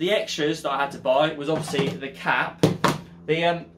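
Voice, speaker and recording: Fairly quick speech from a man, noticeable background noise underneath. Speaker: van conversion vlogger. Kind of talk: tutorial. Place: garage.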